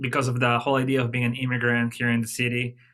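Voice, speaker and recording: In a very clean recording with a silent background, a man speaks at a medium pitch with a bright, sharp tone. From Peru, Lima (coast). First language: Spanish. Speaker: jazz drummer and percussionist. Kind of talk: interview.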